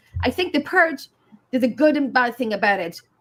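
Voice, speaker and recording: In an Irish accent, a woman talks with lively intonation at a high pitch. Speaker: livestream co-host. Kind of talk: casual chat.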